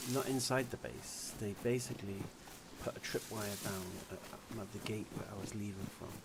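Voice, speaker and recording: A man's fairly low voice at a moderate pace, with fairly even intonation over noticeable background noise. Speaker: gaming streamer. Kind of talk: live gameplay commentary. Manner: quiet; hesitant, filler-heavy. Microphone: quiet mic.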